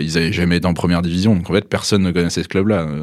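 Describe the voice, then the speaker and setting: Here is a man with a very deep, low pitch. His intonation stays fairly even. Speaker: magazine editor and journalist. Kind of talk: casual interview.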